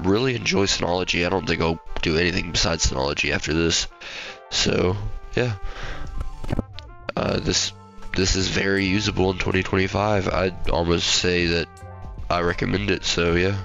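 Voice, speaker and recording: A man speaks at a moderate pace in a very deep, low pitch, with very even loudness, fairly even intonation, and long, frequent pauses, his dry sound having no echo while faint music plays in the background. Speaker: tech hobbyist youtuber. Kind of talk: casual screen-recording commentary. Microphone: studio mic.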